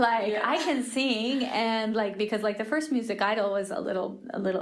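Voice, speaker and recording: A woman speaks at a fairly quick pace, fairly high in pitch, with ordinary pitch variation. Noticeable background noise and audible room echo are present. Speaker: creative leader and church singer. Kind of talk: interview. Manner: halting, many fillers and self-corrections; rambling.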